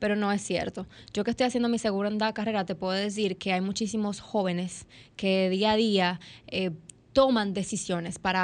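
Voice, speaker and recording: Over a quiet background, a woman with medium pitch talks at a fairly quick pace in a normal speaking voice. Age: 20s. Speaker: young politician. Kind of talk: interview. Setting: studio.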